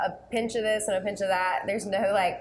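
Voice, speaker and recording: A woman is speaking. Light background noise sits behind her voice. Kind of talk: interview answer. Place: cafe. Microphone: lapel.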